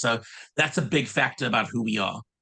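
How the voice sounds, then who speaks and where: With a South African accent, a man talks at a very fast pace in a medium pitch and a bright, sharp tone. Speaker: summer camp director. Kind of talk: casual interview. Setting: video call.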